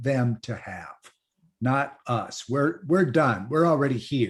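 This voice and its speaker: His voice sits fairly high in pitch. The man sounds somewhat breathy. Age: 60s. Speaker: panelist in an online discussion. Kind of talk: online panel discussion.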